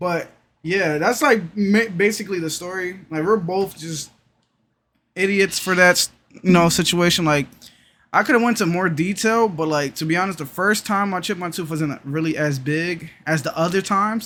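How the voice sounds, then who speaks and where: A man's high-pitched voice with a bright, sharp tone, ordinary pitch variation, and a moderate pace. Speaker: streamer and YouTuber. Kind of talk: story time monologue. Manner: casual, halting with repetitions.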